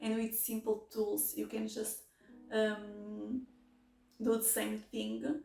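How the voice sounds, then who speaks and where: A woman talks at a very slow pace with long, frequent pauses. Music plays in the background. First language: not English. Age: 20s. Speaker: mechanical engineering master's student. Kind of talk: casual talk to camera. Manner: hesitant.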